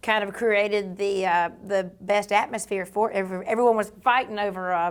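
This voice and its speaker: A woman with a Georgia accent is heard on a very clean recording with a silent background. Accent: Southern (Georgia). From US South, Georgia (near Savannah). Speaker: country singer and cooking show host. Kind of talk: interview conversation. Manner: animated.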